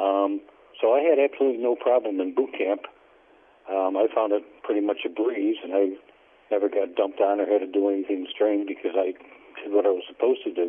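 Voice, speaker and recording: A man with an upstate New York accent and long, frequent pauses. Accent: upstate New York American. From upstate New York (Syracuse, Schenectady). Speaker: Navy veteran. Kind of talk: oral history interview. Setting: phone call. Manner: halting, many fillers.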